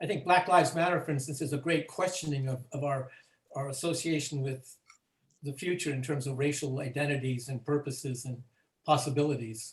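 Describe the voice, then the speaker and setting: A man's fairly high, somewhat breathy voice at a fairly quick pace. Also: fairly even intonation. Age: 80s+. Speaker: teacher who ran the original experiment. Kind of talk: group discussion.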